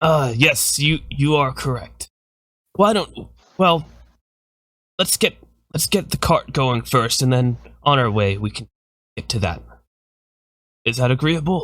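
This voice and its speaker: A man puts on a raspy character voice with a medium pitch and lively intonation. He goes at a fairly slow pace with long, frequent pauses. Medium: actual play. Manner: polite, courteous.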